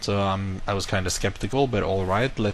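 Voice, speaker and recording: A man with a non-native accent speaks at a fairly low pitch. His pace is fairly quick. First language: not English. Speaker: YouTuber. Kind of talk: casual vlog monologue. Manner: casual, self-correcting.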